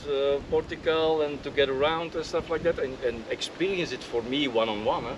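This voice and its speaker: A man speaks with a Flemish accent at a moderate pace. His pitch is fairly high, and there is noticeable background noise. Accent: Belgian Dutch (Flemish) accent in English. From Belgium. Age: 50s. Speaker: land surveyor and drafter. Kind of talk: casual interview. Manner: hesitant, many fillers.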